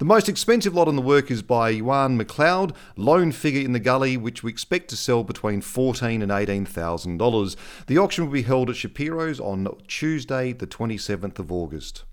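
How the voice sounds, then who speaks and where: A man with an Australian accent at medium pitch and a fairly quick pace, with very wide pitch swings, on a very clean recording with a silent background. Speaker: podcast host. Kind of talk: scripted-style podcast presenting. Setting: studio. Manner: chatty, friendly.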